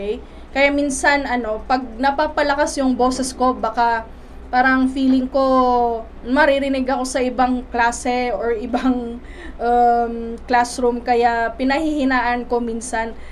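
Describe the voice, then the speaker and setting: In a room with audible echo, a woman with a high voice speaks fairly slowly in a flat monotone. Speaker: life coach and teacher. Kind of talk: motivational talk. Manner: halting, many fillers.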